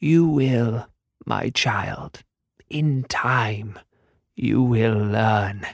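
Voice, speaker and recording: A man speaks in a put-on character voice at a medium pitch. His pace is very slow, with long, frequent pauses. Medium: read story. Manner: solemn, cryptic.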